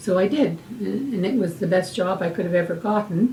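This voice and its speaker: A woman with a Canadian accent talks at a moderate pace and a medium pitch. Noticeable background noise is present. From Hamilton, Ontario, Canada. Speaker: retired nurse and nursing educator. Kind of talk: oral history interview. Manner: halting, with fillers and repetitions.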